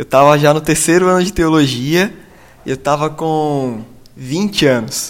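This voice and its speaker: At a fairly slow pace, a man with a fairly high pitch and ordinary pitch variation talks in an unremarkable speaking voice. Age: 20s. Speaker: pastor and former missionary. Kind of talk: casual chat.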